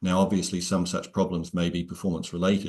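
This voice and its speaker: Against a quiet background, a man talks at a very fast pace in a very deep, low voice with monotone, flat intonation. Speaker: software company director; presenter. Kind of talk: webinar Q&A. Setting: video call. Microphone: earbuds.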